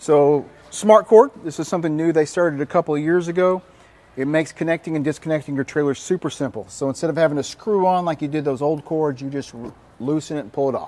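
Dark and mellow in tone, a man's voice rushes along at a very fast pace with ordinary pitch variation. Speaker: RV salesperson. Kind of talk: product walkthrough presentation. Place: hall. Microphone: lapel.

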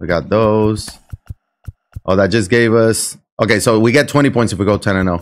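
A man's fairly low voice with a Puerto Rican accent over faint music in the background. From Puerto Rico. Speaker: video game streamer. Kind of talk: live gameplay commentary. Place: home room.

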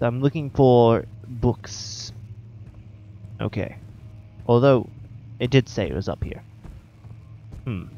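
Backed by music, a man of medium pitch talks at a very slow pace with long, frequent pauses and ordinary pitch variation. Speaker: gaming YouTuber. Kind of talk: gameplay commentary. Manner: casual, joking, frustrated.

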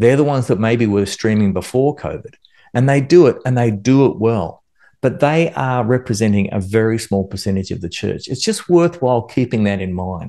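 A man's dark, mellow tone with lively intonation at a moderate pace over a quiet background. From Australia. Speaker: worship music instructor. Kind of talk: instructional video monologue. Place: home room. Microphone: studio mic.

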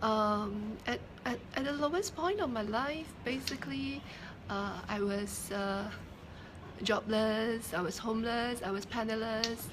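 A woman talks fairly slowly at a fairly high pitch, with ordinary pitch variation. Noticeable background noise runs underneath. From Singapore. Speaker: entrepreneur and author. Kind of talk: interview testimony. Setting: live stream. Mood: earnest, reflective. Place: shop. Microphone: phone near.

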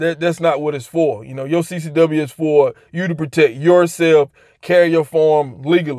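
Over a quiet background, a man speaks at a moderate pace with fairly even intonation. The sound is dry, with no echo. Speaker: gun owner vlogger. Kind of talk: casual vlog chat. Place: car. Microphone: phone near.

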